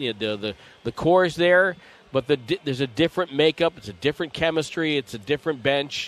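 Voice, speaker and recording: Very fast American-accented speech with ordinary pitch variation against a quiet background. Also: man, fairly high pitch for a man. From Connecticut. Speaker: basketball play-by-play announcer. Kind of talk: live commentary and interview.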